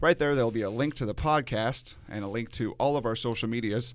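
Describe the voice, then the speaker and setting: Recorded very cleanly against a silent background, a man speaks at a medium pitch in an unremarkable speaking voice. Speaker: podcast host. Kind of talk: casual interview chat. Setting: outdoors at a lake park.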